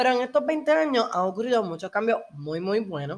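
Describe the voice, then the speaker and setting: Over a silent background on a very clean recording, a woman with a Puerto Rican accent speaks in a fairly high pitch with very wide pitch swings. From Puerto Rico. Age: 20s. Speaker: podcast host. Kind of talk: personal monologue.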